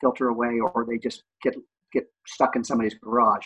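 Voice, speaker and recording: The sound is dry and close, with no echo. A man speaks at a medium pitch and a fairly quick pace. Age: 50s. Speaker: housing project organizer. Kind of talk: interview. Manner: halting.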